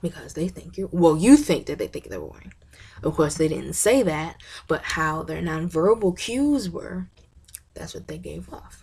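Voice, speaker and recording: A woman at a moderate pace with big swings in loudness. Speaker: college student giving class presentation. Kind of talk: class presentation video. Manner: animated, bubbly.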